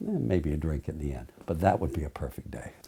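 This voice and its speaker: A man's dark, mellow, somewhat breathy voice with lively intonation. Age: 60s. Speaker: trial lawyer. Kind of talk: interview monologue.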